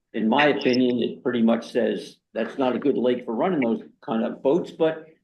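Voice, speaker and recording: With audible room echo, the speaker talks at a moderate pace with ordinary pitch variation. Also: man. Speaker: committee chair. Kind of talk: public meeting. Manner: loud. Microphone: new laptop setup.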